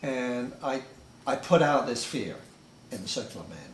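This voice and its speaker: Through audible room echo and noticeable background noise, a man with an English accent speaks at a moderate pace and a medium pitch. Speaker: author. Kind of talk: group discussion. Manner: halting, many repeated words.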